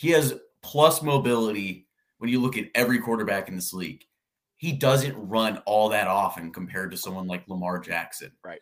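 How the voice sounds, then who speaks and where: A man's medium-pitched, plain, everyday voice at a moderate pace, with lively intonation. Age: 20s. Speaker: sports podcaster. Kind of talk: casual chat.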